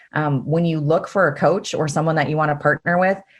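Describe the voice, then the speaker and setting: A woman with an American accent speaks at a very deep, low pitch and a fairly quick pace. Her pitch variation is ordinary, and the background is quiet. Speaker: business coach. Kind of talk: podcast interview. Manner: fast.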